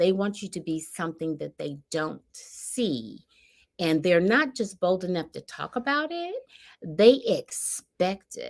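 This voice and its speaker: A woman at medium pitch, animated in tone, with very wide pitch swings, a fairly slow pace and a very clean recording over a silent background. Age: 60s. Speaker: podcast co-host, mother of the other host. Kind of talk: casual chat.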